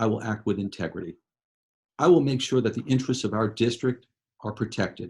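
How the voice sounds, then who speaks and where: Here a man talks at a medium pitch with ordinary pitch variation. His voice is somewhat breathy. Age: 60s. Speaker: political candidate, former judge and lawyer. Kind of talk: candidate interview. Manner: passionate.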